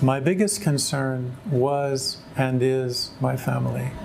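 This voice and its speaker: Noticeable background noise can be heard as this man speaks with an American accent at a medium pitch. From California. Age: 60s. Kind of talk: testimony. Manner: halting.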